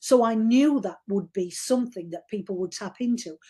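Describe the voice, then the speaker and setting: A woman talks in a Yorkshire accent at a moderate pace. Her tone is dark and mellow. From Yorkshire, northern England. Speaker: novelist. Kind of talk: interview. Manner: informal, hesitant with repetitions.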